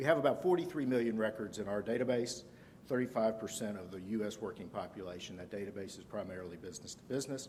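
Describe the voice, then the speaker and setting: Very fast and with big swings in loudness, a man talks in a Southern US accent amid audible room echo. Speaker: conference speaker, analytics manager. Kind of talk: conference presentation.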